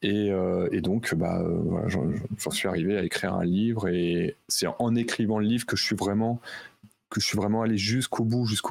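In a normal speaking voice, a man talks fairly slowly at a fairly low pitch, with ordinary pitch variation and very even loudness. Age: 40s. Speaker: concert producer and author. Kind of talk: casual chat.

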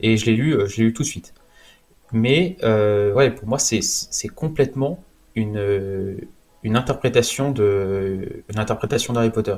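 A man talks very slowly, his medium pitch showing ordinary variation. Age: 20s. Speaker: comics enthusiast. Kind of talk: casual chat.

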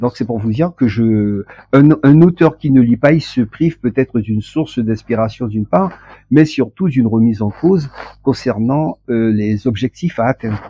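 Here a man speaks at a moderate pace with a medium pitch. His pitch varies in an ordinary way. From French Guiana. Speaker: author and poet. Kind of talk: interview. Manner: hesitant, with frequent fillers.

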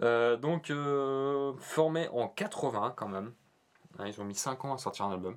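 In a Norman accent, a man speaks at a very slow pace. His voice sits at medium pitch with lively intonation. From Normandy, France. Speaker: podcast co-host. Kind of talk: casual chat. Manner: halting.

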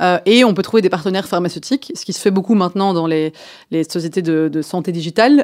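A woman with a plain, everyday voice speaks at a medium pitch and a fairly quick pace in a very clean recording with a silent background. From Belgium, Brussels. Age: 30s. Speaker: startup founder and CEO. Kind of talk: radio interview.

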